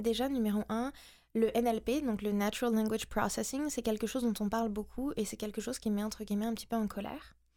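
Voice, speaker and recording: A woman with a normal speaking voice, a fairly high pitch, fairly even intonation and a fairly quick pace, in a very clean recording with a silent background. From France and the US. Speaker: SEO specialist. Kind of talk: interview.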